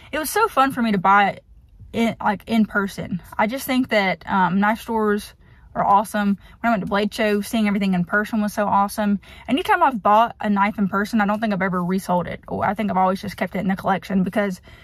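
A woman talks at a very fast pace in a somewhat breathy voice with fairly even intonation, heard dry with no echo over a quiet background. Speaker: vlogger. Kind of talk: casual vlog chat. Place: car. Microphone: phone near.

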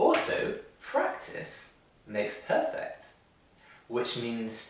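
A man talks at a very slow pace. Room echo is audible around his voice. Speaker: English teacher. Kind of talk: ESL lesson to camera. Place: studio.

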